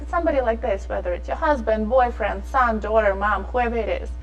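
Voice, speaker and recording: Background music beneath a woman's voice, plus audible echo from the room. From abroad, non-English-speaking country. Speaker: fashion designer. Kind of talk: interview. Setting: studio. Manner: animated.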